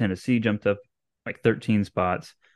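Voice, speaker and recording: Against a quiet background, a man with an unremarkable speaking voice talks at a fairly low pitch with fairly even intonation in a dry, close sound with no echo. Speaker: podcast co-host. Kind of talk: casual sports podcast chat.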